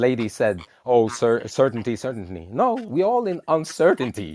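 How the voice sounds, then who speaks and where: At a moderate pace, a man with a non-native accent speaks at a medium pitch with lively intonation. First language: not English. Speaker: panelist. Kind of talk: heated debate. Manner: halting.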